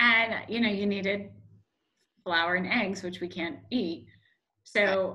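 In a quiet background, a woman with a bright, sharp tone speaks at a fairly slow pace with fairly even intonation. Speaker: food allergy parent. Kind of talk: casual group chat. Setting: video call. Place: home room. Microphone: video call.

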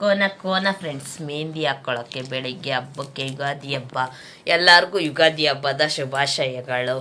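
A woman speaks in a very deep, low pitch, her tone bright and sharp, with ordinary pitch variation. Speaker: home vlogger. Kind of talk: casual vlog talk.

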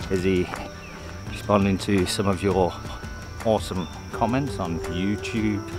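With clear music behind him, a man speaks at a fairly low pitch with ordinary pitch variation in a dry sound with no echo. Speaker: travel vlogger. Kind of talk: casual vlog chat. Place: open country. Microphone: phone near.

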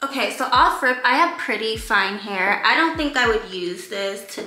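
A woman's fairly high voice in an American accent, at a moderate pace, with audible room echo and light background noise. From New York. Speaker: beauty YouTuber. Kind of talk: casual talk to camera. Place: home room. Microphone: camera far.

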